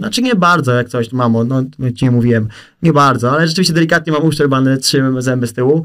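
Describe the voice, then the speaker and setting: Very fast speech from a man, the pitch varying in an ordinary way. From south-eastern Poland. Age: 20s. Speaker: content creator. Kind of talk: casual chat. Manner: animated.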